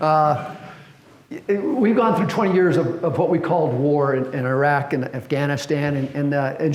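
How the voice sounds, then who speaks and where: Noticeable background noise and audible room echo surround this recording. A man speaks at a moderate pace, fairly high in pitch, with ordinary pitch variation. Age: 70s. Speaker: fire service historian speaker. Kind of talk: presentation. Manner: halting, many fillers.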